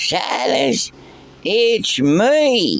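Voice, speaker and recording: The speaker puts on a raspy, gravelly character voice. It has a fairly high pitch over light background noise. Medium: solo performance.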